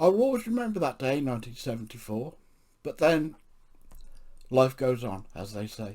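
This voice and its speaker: Speaking at a moderate pace, a man with an English accent moves through very wide pitch swings. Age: 60s. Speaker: podcaster with chronic illness. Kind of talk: reading aloud.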